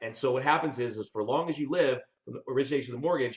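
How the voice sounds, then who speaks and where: A man's somewhat breathy, fairly high voice with an American accent at a very fast pace. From Colorado, US. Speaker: debt collection legal veteran, mortgage investor. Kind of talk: casual interview.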